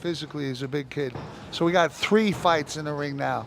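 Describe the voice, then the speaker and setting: Fairly quick speech against noticeable background noise. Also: man. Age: 60s. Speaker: fight commentator. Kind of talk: live commentary. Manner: animated.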